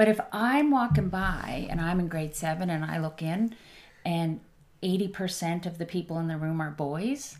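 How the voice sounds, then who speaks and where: A woman speaks in an ordinary speaking voice at a fairly slow pace. Her pitch is fairly low, with ordinary variation. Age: 50s. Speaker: tech CEO and social entrepreneur. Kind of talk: casual interview chat.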